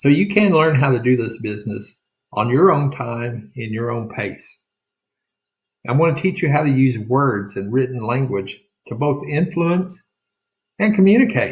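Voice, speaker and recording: In an Oklahoma accent, a man speaks with a somewhat breathy voice. He leaves long, frequent pauses. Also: medium pitch for a man, lively intonation, moderate pace. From rural Oklahoma. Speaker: real estate sales coach. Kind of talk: sales pitch.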